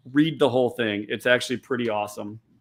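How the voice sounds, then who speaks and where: A normal speaking voice from a man, medium in pitch, with fairly even intonation. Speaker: podcast co-host. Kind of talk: casual chat.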